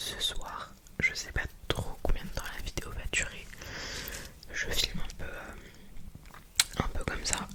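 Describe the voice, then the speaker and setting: A woman whispers at a very slow pace, with long, frequent pauses. Noticeable background noise runs behind her. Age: 20s. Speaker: ASMR creator, psychology student. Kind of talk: ASMR trigger words video. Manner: soft, repetitive, relaxing.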